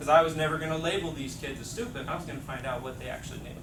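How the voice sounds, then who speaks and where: A man talks at a fairly high pitch. Both noticeable background noise and audible room echo can be heard. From Mexico. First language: Spanish. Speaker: teacher trainer. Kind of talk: workshop presentation.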